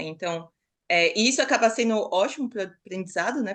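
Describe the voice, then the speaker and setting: A woman with an ordinary speaking voice talks at a fairly quick pace and medium pitch against a quiet background. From Brazil, São Paulo city. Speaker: master's student. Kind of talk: podcast interview.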